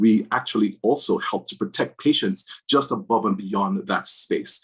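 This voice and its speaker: With a Jamaican accent, a man talks at a moderate pace in a medium pitch that swings very widely. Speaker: physician in drug safety. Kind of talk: panel discussion.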